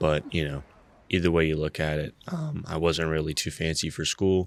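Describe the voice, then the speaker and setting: A fairly quick, monotone male voice with a very deep, low pitch and flat intonation on a very clean recording with a silent background. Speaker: YouTube commentator on personal finance. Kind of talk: casual vlog monologue. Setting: at home early in the morning. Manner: quieter than usual, keeping voice down; filler-heavy, frequent 'you know'.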